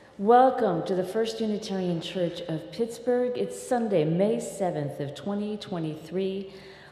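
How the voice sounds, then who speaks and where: A woman's fairly slow, lively voice, with audible room echo and noticeable background noise. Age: 60s. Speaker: minister. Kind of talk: sermon. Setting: church.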